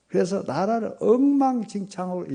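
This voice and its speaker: The man's dark, mellow voice moves at a fairly slow pace. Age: 70s. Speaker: retired senior pastor. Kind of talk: revival sermon. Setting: church revival meeting.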